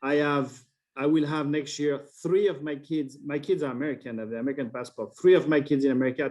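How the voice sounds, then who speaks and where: A man speaks with a French accent. His voice sits fairly high, with fairly even intonation. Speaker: wine importer. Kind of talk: interview. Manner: halting.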